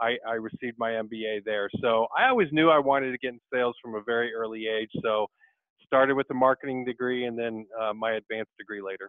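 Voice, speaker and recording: A man with a plain, everyday voice, fairly quick pace and fairly even intonation. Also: medium pitch for a man. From Michigan, US Midwest. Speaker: sales executive. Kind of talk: interview.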